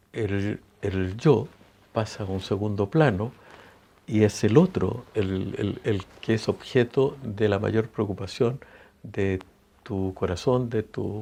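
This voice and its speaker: With ordinary pitch variation, the man speaks in a dark, mellow tone. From Chile. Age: 70s. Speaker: singer-songwriter. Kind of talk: interview. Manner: hesitant, many fillers and restarts.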